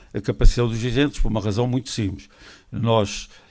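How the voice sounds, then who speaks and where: On a very clean recording with a silent background, a man of medium pitch speaks at a very fast pace. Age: 70s. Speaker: association representative. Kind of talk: formal speech. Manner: halting.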